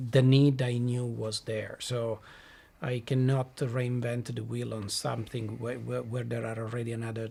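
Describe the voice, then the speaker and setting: A man speaks with an Italian accent at a moderate pace. His voice is somewhat breathy and dark and mellow, with monotone, flat intonation. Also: medium pitch for a man. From southern Italy. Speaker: blockchain company CEO. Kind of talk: podcast interview. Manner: halting.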